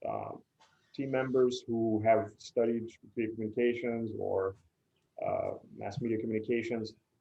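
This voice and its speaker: In a Spanish accent, a man talks at a medium pitch and fairly slow pace with monotone, flat intonation. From Puerto Rico, San Juan. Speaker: PR agency executive. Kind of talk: interview.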